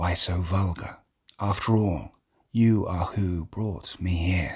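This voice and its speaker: A man whispers in a put-on character voice, with a hissing sound. He goes at a fairly slow pace. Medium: read story. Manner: calm, measured.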